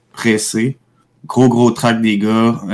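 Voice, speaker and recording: Man's medium-pitched voice with a Quebec accent. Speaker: radio co-host. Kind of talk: casual radio chat. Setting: home studio, remote.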